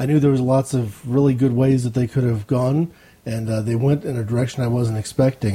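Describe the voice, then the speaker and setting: Somewhat breathy and dark, mellow in tone, a man speaks at a medium pitch and a fairly quick pace. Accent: American. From Ohio. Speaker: listener and podcaster. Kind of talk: recorded listener comment.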